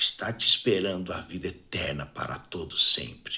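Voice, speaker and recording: A man speaks in a bright, sharp tone. Audible room echo surrounds his voice. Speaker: evangelical preacher. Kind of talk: sermon. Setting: live stream. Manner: soft-spoken; fervent.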